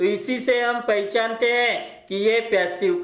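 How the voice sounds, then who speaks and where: With audible room echo, a man talks at an extremely high pitch. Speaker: English grammar teacher. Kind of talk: tutorial.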